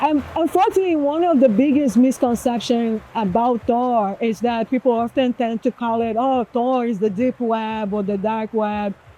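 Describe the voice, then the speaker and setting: A woman's fairly high voice in a Portuguese accent, moderate in pace with hardly any pauses and ordinary pitch variation, dry and close with no echo, over noticeable background noise. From Brazil. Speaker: executive director of a privacy nonprofit. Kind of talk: interview.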